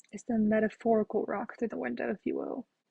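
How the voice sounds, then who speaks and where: A quiet, somewhat breathy woman talks at a fairly quick clip in a fairly high voice. The sound is dry and close, with no echo. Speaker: gaming youtuber. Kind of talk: game playthrough commentary. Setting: at home. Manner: quiet, hushed.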